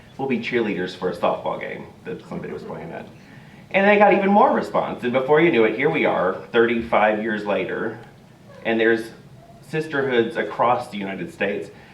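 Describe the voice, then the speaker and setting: The voice moves fairly quickly, with lively intonation and big swings in loudness. Noticeable background noise and audible room echo fill the recording. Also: man. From Texas. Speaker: charity volunteer and hairdresser. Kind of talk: talk to church congregation. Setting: church service.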